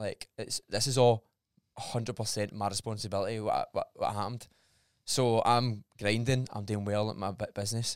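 In a Scottish accent, a man speaks at a medium pitch and moderate pace with monotone, flat intonation. The sound is dry and close with no echo, a very clean recording over a silent background. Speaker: personal trainer. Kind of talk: casual chat.

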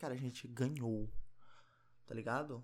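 Soft-spoken, a man talks with fairly even intonation. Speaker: podcaster. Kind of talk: casual monologue. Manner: quiet, speaking softly.

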